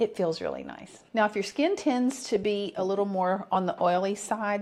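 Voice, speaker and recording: A woman talks at a medium pitch. Her intonation shows ordinary pitch variation. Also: moderate pace. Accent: Southern US. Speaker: skincare vlogger. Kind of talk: tutorial.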